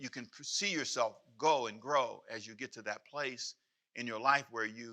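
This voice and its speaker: The voice has a bright, sharp tone. It belongs to a man. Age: 60s. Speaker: pastor. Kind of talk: sermon. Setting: church.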